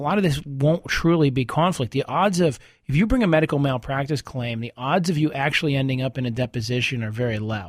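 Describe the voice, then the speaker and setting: Talking at a very fast pace with hardly any pauses, a man uses a fairly high pitch and lively intonation. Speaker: lawyer, legal radio show host. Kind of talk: radio call-in show.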